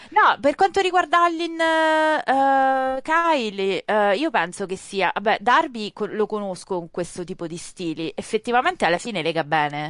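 A woman speaks at a fairly slow pace. Her pitch moves in very wide swings. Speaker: wrestling pundit. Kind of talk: casual chat. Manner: animated.

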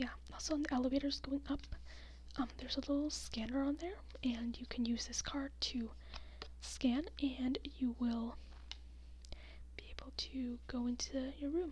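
A soft-spoken woman with a gentle tone at a moderate pace, with long, frequent pauses. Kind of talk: soft role-play talk to the viewer. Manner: soft-spoken, gentle ASMR voice. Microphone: phone near.

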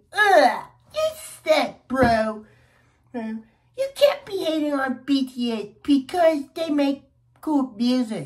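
A female-sounding, put-on character voice whines at a high pitch and a very slow pace. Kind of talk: casual, slangy. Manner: mocking, whiny imitation.

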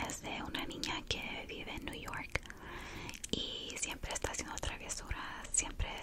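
Amid noticeable background noise, a woman is whispering. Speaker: ASMR creator. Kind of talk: casual ASMR ramble. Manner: whispered.

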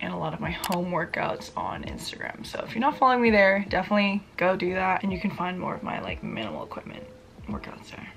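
Speaking at a very fast pace with big swings in loudness, a woman is heard over light background noise. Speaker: fitness vlogger. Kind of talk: casual vlog chat. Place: home room. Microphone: phone near.

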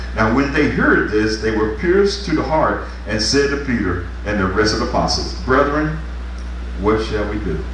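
A man speaks at a moderate pace, with audible room echo and noticeable background noise. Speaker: pastor. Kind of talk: revival sermon, fervent call-and-response exhortation to congregation. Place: church. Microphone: camera far.

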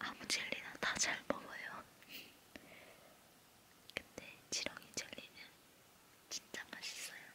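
Very slow whispering with long, frequent pauses. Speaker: ASMR creator. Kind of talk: ASMR eating sounds with casual talk. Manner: whispered. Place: home room.

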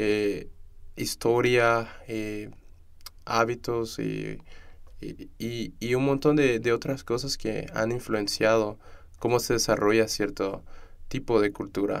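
A man with a medium pitch speaks at a very slow pace. His intonation is fairly even, with long, frequent pauses. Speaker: student podcast host. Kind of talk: interview conversation. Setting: studio.

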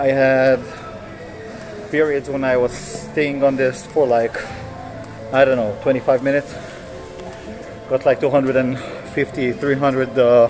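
A man speaks at a fairly slow pace with fairly even intonation. Clear music can be heard behind him. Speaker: vlogger. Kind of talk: casual vlog chat. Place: gym. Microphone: phone near.

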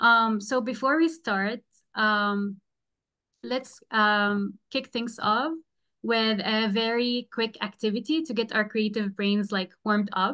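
Against a quiet background, a woman talks at a fairly slow pace with fairly even intonation. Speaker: presenter. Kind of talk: online workshop presentation. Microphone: video call.

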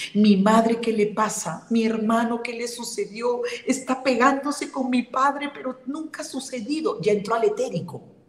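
Audible room echo carries a woman's high-pitched voice as she talks with hardly any pauses. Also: ordinary pitch variation, moderate pace. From Peru. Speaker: spiritual healer and medium; guest. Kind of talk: interview. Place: home room. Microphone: video call.

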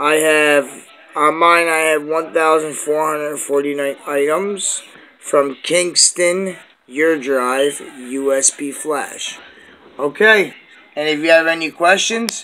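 A man speaks at a very slow pace with fairly even intonation. Light background noise runs underneath. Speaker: amateur tutorial maker. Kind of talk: tutorial. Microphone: phone near.

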